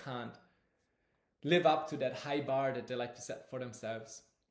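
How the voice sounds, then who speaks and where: Fairly even intonation in a non-native accent, with audible room echo. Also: man. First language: not English. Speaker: astrology teacher. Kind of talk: lecture. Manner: halting, with fillers.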